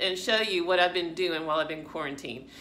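Her intonation is lively as this woman talks. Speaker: fitness channel vlogger. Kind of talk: casual vlog chat. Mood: warm, grateful. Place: home room. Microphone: phone near.

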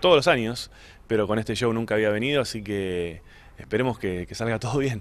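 Speaking fairly quickly, a man holds a medium pitch that varies in an ordinary way. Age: 40s. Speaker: stand-up comedian. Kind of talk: interview. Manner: halting.

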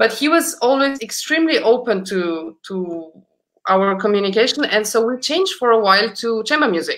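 At a moderate pace, a woman with a Romanian accent speaks in a fairly high pitch with very wide pitch swings. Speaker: concert pianist; guest. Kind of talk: casual interview chat; interview answer. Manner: halting, repeats words. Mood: warm, reflective. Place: home room.

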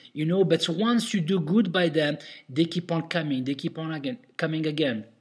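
An enthusiastic tone comes through in a non-native accent. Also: man. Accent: foreign-accented English. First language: not English. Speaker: restaurant owner and consultant. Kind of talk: tutorial. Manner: casual, many fillers.

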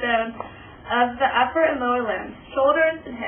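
High-pitched woman's voice with light background noise. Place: home room.

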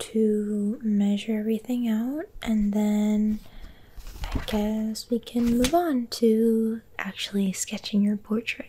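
A soft-spoken woman with a gentle tone at a very slow pace, light background noise behind her. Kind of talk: soft casual role-play chat. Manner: soft-spoken, gentle close-mic voice. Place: home room. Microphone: phone near.

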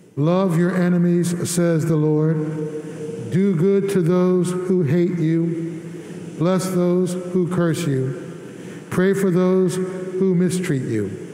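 Very slowly, a man speaks at a high pitch, with audible room echo. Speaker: priest leading Mass. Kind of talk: liturgical address. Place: church.

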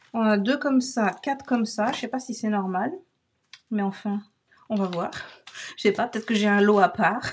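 At a moderate pace with long, frequent pauses, a woman speaks somewhat breathily at a fairly high pitch with ordinary pitch variation. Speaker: crafting video creator. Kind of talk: craft tutorial. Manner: animated.

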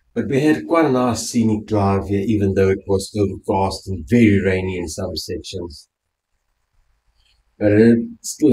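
A man's fairly low, somewhat breathy voice with a dark, mellow tone, ordinary pitch variation and a moderate pace. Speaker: travel vlogger. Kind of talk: casual vlog chat. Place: home room. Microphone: phone near.

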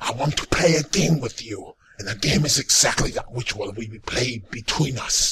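Putting on a character voice, a man speaks raspy at a medium pitch and a moderate pace. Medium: voice reel. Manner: menacing, threatening.

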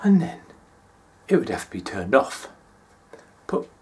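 An animated, warm tone carries a British accent, with very wide pitch swings. Hissing can be heard. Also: man. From England. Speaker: monologue performer. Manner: warm, conversational pacing with pauses and comic timing. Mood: nostalgic, animated. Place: home room. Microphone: phone near.

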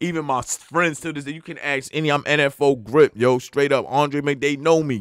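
A man with a fairly high pitch speaks in a New York accent at a moderate pace, with hardly any pauses, fairly even intonation and big swings in loudness. The sound is dry with no echo, and the background is quiet. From New York (Long Island). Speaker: rapper. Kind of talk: casual interview. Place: studio. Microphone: studio mic.

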